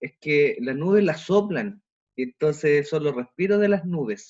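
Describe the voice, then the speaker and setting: A man talks at a fairly slow pace, his pitch swinging very widely. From Chile, Temuco. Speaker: teaching assistant, photographer and amateur musician. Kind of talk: podcast interview.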